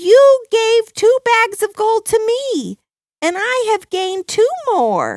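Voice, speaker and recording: Using a put-on character voice, a woman speaks at a very slow pace in an extremely high, squeaky pitch. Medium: read story.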